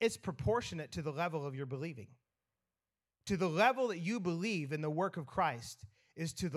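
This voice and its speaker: A man speaks in an ordinary speaking voice, fairly high in pitch, with lively intonation at a fairly quick pace. The recording is very clean, with a silent background. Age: 40s. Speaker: pastor. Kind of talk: sermon.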